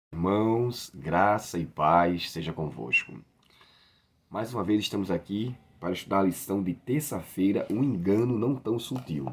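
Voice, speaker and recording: In a raspy put-on character voice, the speaker moves at a moderate pace with lively intonation. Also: man, fairly low pitch for a man. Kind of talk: religious study, greeting the congregation. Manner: warm, solemn.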